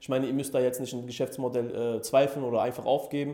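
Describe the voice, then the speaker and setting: Speaking very fast, this man holds a medium pitch with monotone, flat intonation. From Germany, near Frankfurt (Hesse). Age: 20s. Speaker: e-commerce entrepreneur, coaching client. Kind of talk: interview testimonial. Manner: hesitant, many fillers.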